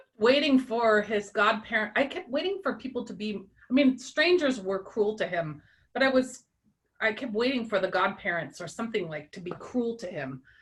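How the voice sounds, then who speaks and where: A woman at a moderate pace, somewhat breathy, with very wide pitch swings and big swings in loudness. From US, immigrant childhood. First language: Russian. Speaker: book club member. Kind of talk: casual chat. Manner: halting.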